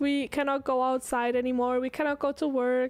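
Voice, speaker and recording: A woman speaks in a high voice against noticeable background noise. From Switzerland. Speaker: streamer. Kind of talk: casual chat. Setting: live stream.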